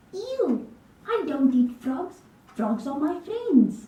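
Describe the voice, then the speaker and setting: A female-sounding cartoonish character voice, high-pitched and very slow, with a slight echo. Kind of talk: educational puppet show.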